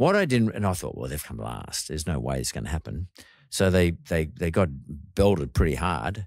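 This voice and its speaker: An Australian-accented man speaks with lively intonation, the sound dry with no echo and the background quiet. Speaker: podcast host. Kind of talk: casual interview chat. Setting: studio. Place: studio. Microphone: studio mic.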